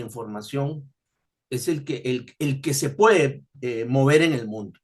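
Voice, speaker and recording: A man is speaking. His delivery is very slow. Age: 60s. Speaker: tax expert and professor. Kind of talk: webinar lecture. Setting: online webinar. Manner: halting, frequent fillers.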